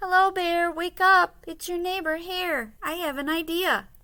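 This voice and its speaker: A woman does a put-on character voice. It is squeaky and extremely high in pitch. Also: moderate pace. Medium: read story. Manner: persuasive.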